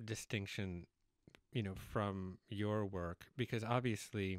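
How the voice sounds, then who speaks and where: A man talks at a fairly slow pace in a fairly low pitch, with an unremarkable speaking voice. The sound is dry with no echo, and the background is quiet. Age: 40s. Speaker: podcast host. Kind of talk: interview conversation. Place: studio. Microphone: studio mic.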